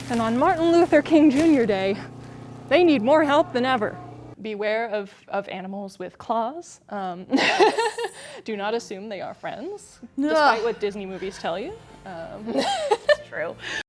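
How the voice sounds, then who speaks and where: A fairly slow delivery with very wide pitch swings over noticeable background noise. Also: woman, fairly high pitch for a woman, big swings in loudness. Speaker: multimedia journalist, news anchor and weather forecaster. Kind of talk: TV news anchor and field reporting.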